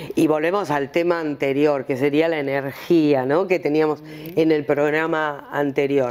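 A woman speaks at a fairly slow pace with a very deep, low pitch. Her intonation is fairly even and her loudness very even. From Argentina, Buenos Aires area. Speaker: TV show host. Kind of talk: casual chat. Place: studio.

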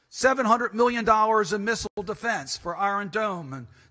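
Over a quiet background, a man uses a raised, projected voice. His tone is bright and sharp, and his pace is moderate. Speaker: politician giving a speech. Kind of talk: conference speech. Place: hall. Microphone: podium.

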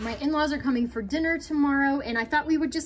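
A woman's voice comes through with noticeable noise in the background. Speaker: home cooking vlogger. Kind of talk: casual vlog chat. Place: kitchen. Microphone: phone near.

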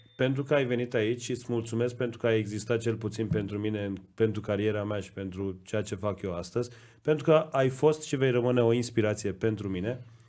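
A man's medium-pitched voice, dark and mellow in tone, at a fairly quick pace with ordinary pitch variation. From Iran (Tabriz); Iran. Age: 30s. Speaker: podcast co-host, design school co-founder; podcast host. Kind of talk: casual chat. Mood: warm, appreciative. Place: studio. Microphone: studio mic.

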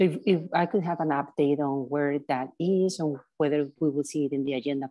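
Low in pitch, a woman speaks with a slightly mellow tone and fairly even intonation.

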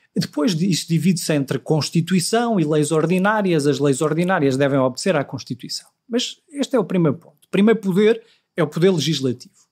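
With a European Portuguese accent, a man speaks fairly quickly in a high pitch, his intonation lively and his loudness swinging widely. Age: 40s. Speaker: law professor. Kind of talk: interview.

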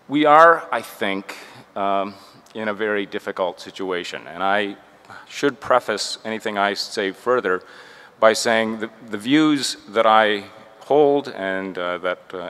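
A man speaks at a fairly slow pace, his voice fairly low in pitch with ordinary variation. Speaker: conference panelist. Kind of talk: panel remarks. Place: meeting room. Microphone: podium.

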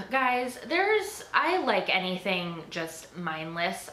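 Audible room echo surrounds a woman speaking slowly in a fairly low pitch with a bright, sharp tone.

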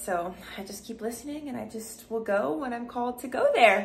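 Light background noise is heard as a woman speaks. She keeps a moderate pace with lively intonation. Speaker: vlogger. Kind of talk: casual vlog chat. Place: home room. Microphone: phone near.

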